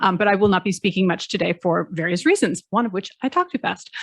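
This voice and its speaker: Here a woman talks at a fairly quick pace with lively intonation. The sound is dry and close, with no echo. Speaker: law professor and conference organiser. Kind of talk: conference opening announcements. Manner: fast.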